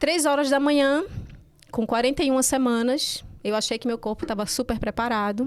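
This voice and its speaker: The recording is very clean, with a silent background. A woman speaks at a high pitch with ordinary pitch variation. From Recife, northeastern Brazil. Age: 40s. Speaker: breastfeeding consultant and nurse. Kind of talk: podcast interview, personal story.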